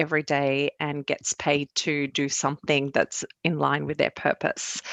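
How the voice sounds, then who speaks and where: This woman has a very deep, low voice. She talks at a moderate pace. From Syria, then Australia from age 13. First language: Arabic. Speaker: cybersecurity analyst. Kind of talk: interview.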